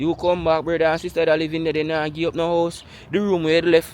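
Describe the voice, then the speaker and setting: With a Jamaican accent, a man speaks at a fairly quick pace in a high pitch. His intonation is monotone and flat. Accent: Jamaican Patois-inflected English. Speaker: vlogger. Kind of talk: walking vlog monologue.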